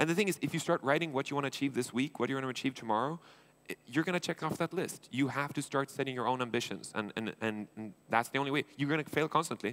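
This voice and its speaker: At a very fast pace, a man with a fairly high pitch talks in an animated tone with ordinary pitch variation. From Sweden. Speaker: entrepreneur and angel investor. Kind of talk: conference keynote talk. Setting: stage with audience.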